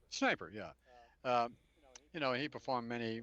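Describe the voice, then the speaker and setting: Speaking at a very fast pace in a New Orleans accent, a man talks over a quiet background. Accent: New Orleans accent, noticeable. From US South, New Orleans. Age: 70s. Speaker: interview guest. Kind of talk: radio interview. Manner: halting, repeats words.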